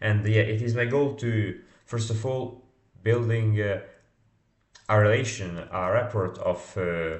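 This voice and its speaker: A man with a non-native accent speaks somewhat breathily at medium pitch, with audible room echo around him. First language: not English. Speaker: startup founder and salesman. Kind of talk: vlog monologue. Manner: halting, many fillers.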